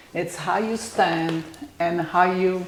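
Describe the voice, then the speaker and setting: Noticeable background noise behind a woman's voice of medium pitch. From Italy. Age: 70s. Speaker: salon owner and hairdresser. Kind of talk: interview. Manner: halting.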